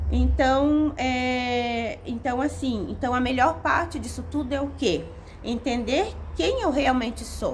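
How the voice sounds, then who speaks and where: With audible room echo and noticeable background noise, a woman is heard speaking. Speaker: self-help video creator. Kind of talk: motivational talk to camera. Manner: animated.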